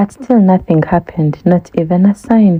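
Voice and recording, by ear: At a fairly slow pace, a woman speaks with a fairly low pitch, a slightly husky edge and ordinary pitch variation.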